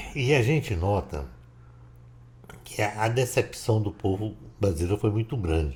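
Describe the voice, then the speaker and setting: Vocal fry runs through a man's fairly low voice as he speaks at a fairly slow pace. Long, frequent pauses break up the very clean recording, which has a silent background. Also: lively intonation. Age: 70s. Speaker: political commentator. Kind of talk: casual monologue.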